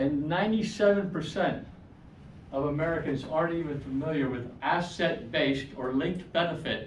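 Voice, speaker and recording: A man with fairly high pitch and ordinary pitch variation at a moderate pace, amid noticeable background noise and audible room echo. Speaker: financial seminar presenter. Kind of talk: seminar presentation. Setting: room with live audience.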